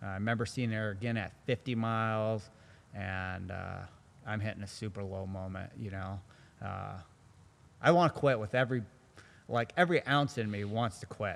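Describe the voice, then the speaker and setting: Fairly low in pitch, a man speaks at a moderate pace with ordinary pitch variation. His loudness swings widely, and he takes long, frequent pauses. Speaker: ultra runner and Air Force tactical specialist. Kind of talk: interview answer. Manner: soft-spoken.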